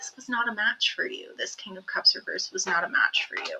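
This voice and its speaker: A woman speaking at a moderate pace. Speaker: psychic tarot reader. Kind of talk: tarot reading.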